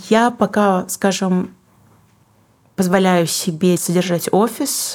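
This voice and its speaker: With ordinary variation, a woman's voice stays at a medium pitch. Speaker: singer-songwriter and book publisher. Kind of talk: casual interview.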